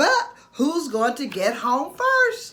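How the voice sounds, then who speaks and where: A female-sounding, put-on character voice pitched high. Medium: read story. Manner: soothing, warm.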